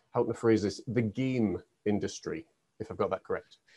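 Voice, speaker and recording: With an unremarkable speaking voice, a man talks at medium pitch with ordinary pitch variation over a quiet background. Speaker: podcast host and life coach. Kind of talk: interview.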